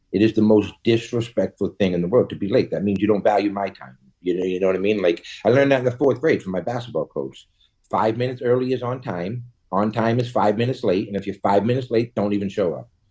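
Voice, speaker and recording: A man with a Boston accent speaks very fast. His voice is fairly low, with a dark, mellow tone. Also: ordinary pitch variation. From Boston, US. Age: 40s. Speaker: cannabis entrepreneur. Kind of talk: casual interview chat. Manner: halting, repetitive fillers.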